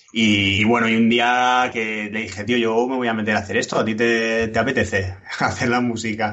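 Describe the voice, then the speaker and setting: Amid noticeable background noise and audible room echo, a man talks at a moderate pace with a medium pitch and monotone, flat intonation. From Alicante, Spain. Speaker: game programmer and designer. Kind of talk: casual interview.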